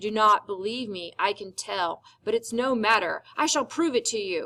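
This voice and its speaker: On a very clean recording with a silent background, a woman growls in a fairly high-pitched put-on character voice at a moderate pace, with big swings in loudness. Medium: read story. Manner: intense, insistent.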